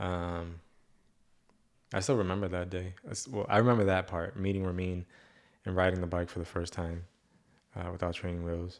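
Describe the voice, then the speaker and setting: A man with a Spanish accent talks at a fairly quick pace in a very deep, low pitch, using long, frequent pauses. His intonation is fairly even, and the recording is very clean with a silent background. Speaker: podcast host. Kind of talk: casual chat. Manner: halting.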